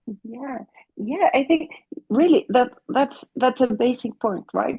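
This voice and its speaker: A woman with a Mexican accent speaks at a very slow pace and a high pitch, her intonation lively. The sound is dry and close with no echo. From Mexico. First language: Spanish. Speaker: family therapist. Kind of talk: interview. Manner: halting, with repeated words.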